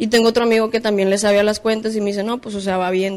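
A woman speaks in a monotone. Her intonation stays flat throughout. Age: 20s. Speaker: rapper. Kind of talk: casual chat.

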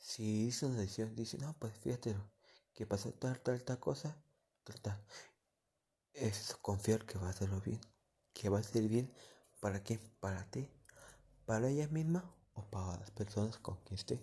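Against a quiet background, a man with a fairly low pitch and a dark, mellow, somewhat breathy tone talks at a fairly slow pace with ordinary pitch variation and long, frequent pauses. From Mexico, Michoacán. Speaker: amateur podcaster. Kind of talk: casual monologue. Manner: halting.

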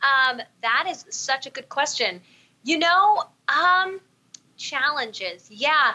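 Raised and projected, a woman's high-pitched voice with a bright, sharp tone moves at a very slow pace, swinging very widely in pitch between long, frequent pauses. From Southern California. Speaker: podcast host and singer. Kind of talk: casual interview chat.

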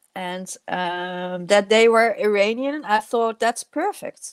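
A woman speaks with a Dutch accent and ordinary pitch variation. The sound is dry and close, with no echo. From Netherlands. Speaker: filmmaker. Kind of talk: interview. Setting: video call. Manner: halting.

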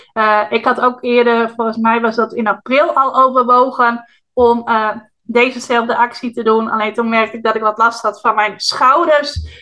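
A woman's fairly high voice with a bright, sharp tone, monotone, flat intonation and a moderate pace. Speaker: podcast host and online marketing business owner. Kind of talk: solo podcast monologue. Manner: friendly, conversational.

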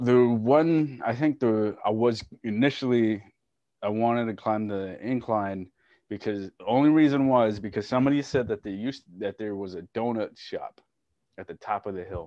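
Against a quiet background, a man with a medium-pitched voice and a dark, mellow tone talks with big swings in loudness. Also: ordinary pitch variation, moderate pace.

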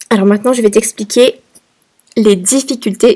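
A woman with a fairly high pitch speaks at a moderate pace. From France. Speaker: podcast host. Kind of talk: personal story monologue. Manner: hesitant, many fillers.

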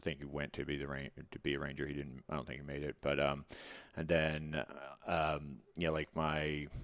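With an American accent, a man talks in a very deep, low pitch, using vocal fry and monotone, flat intonation. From Texas (Katy, near Houston). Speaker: sleep doctor and former Navy SEAL. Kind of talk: casual interview.

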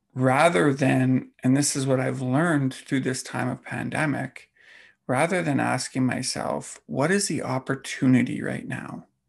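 Over a quiet background, a man speaks at a fairly slow pace with vocal fry. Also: medium pitch for a man, ordinary pitch variation. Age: 40s. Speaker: fitness coach and podcast host. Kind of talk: solo podcast monologue.

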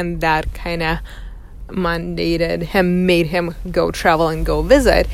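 A woman speaks at a fairly slow pace. She has a Russian accent. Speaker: podcast host. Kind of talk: personal monologue. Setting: in a car. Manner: reflective, with frequent fillers.

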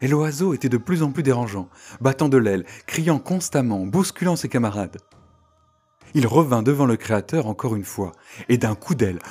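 Male speech of medium pitch in a gentle, dramatic tone, with lively intonation, a moderate pace, long and frequent pauses, and music in the background. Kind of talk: storytelling, scripted-style folk tale narration. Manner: animated storyteller, lively and expressive; voices characters, with a gentle, dramatic delivery.

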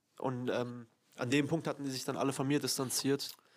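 An ordinary speaking voice from a man, fairly high in pitch and fairly quick, on a very clean recording with a silent background. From Germany. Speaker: friend of host. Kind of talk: casual chat.

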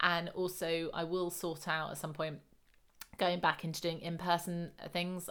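A woman speaks at a moderate pace with a British accent. Her pitch is fairly low. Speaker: lifestyle coach. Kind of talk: solo podcast monologue. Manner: casual, hesitant with many fillers; laughs often.

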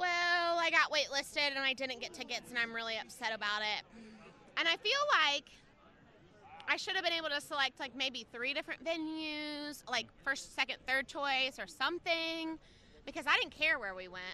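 A woman speaks in a raised, projected voice with a high pitch. Her pace is moderate and her intonation lively. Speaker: tailgate fan, Panthers fan. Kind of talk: casual chat. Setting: outdoors at a stadium tailgate.

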